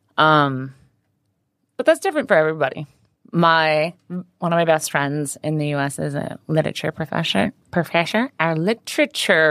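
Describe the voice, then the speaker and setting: With an American accent, a woman talks at a moderate pace in a very deep, low pitch with ordinary pitch variation, recorded with a dry, close sound and no echo. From Idaho, US. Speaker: bartender and bar owner. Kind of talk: interview. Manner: animated.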